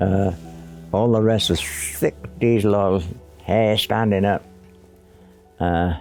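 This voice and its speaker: A man at a very slow pace with long, frequent pauses, fairly even intonation and very even loudness, over music in the background. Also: fairly low pitch for a man. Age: 80s+. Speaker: war veteran. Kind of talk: testimony.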